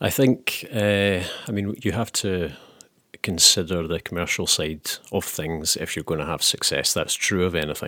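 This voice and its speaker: A man with a Scottish accent, very deep and low in pitch yet bright and sharp in tone, at a moderate pace with ordinary pitch variation. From Scotland. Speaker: novelist. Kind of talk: interview conversation. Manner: hesitant with many fillers.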